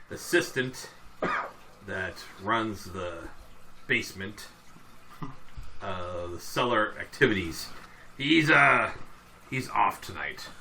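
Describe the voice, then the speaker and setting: A man uses a put-on character voice with lively intonation at a very slow pace. Background noise is clear. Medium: actual play. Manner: hesitant, stammering.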